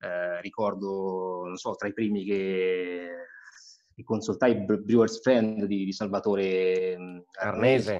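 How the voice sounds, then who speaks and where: Speaking very slowly with long, frequent pauses, a man keeps a flat, monotone intonation at a fairly low pitch while his loudness swings widely. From Marche, Italy. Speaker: homebrewer and body shop owner; interviewee. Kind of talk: casual interview; home brewery tour. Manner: halting, many fillers. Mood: relaxed, smiling. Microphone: video call.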